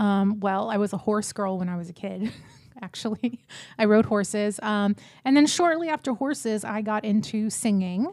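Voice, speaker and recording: In an American accent, a woman with a normal speaking voice talks at a moderate pace, fairly high in pitch with ordinary pitch variation, on a very clean recording with a silent background. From Texas, small town near Houston. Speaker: real estate team leader and recruiter. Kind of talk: casual chat. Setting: office.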